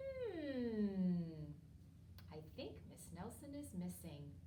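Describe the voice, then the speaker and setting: Clear background noise runs under this recording. The speaker puts on a character voice and talks at a very slow pace. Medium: read story. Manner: slow, pondering.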